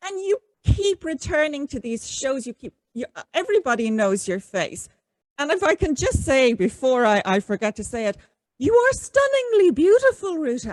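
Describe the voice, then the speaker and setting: In a dry, close sound with no echo, a woman with an Irish accent speaks at a moderate pace in a high pitch, with very wide pitch swings and big swings in loudness. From Ireland. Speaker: podcast host. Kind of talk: interview.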